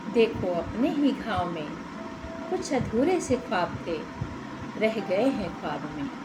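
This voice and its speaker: Long, frequent pauses in a woman's very slow speech, plus noticeable background noise. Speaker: poem reciter. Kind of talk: poetry reading. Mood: wistful, melancholic. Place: home room. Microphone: phone near.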